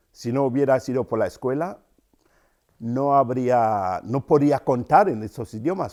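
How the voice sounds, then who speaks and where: Speaking with a Cameroonian accent, a man with a medium pitch and a dark, mellow tone talks at a moderate pace with ordinary pitch variation on a very clean recording with a silent background. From Cameroon, rural. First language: Yambasa (speaking Spanish). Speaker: writer and storyteller. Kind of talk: interview. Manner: thoughtful, with hesitations.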